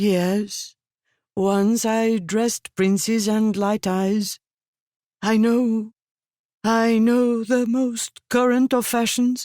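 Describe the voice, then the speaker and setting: With long, frequent pauses and a very slow pace, a female-sounding put-on character voice speaks at a fairly high pitch in a very clean recording with a silent background. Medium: read story. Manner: timid, stammering.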